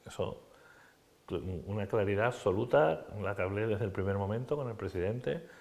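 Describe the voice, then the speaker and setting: Lively intonation, a moderate pace and a somewhat breathy voice. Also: man. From Andalusia, Spain. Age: 60s. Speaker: politician. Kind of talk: TV interview. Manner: animated.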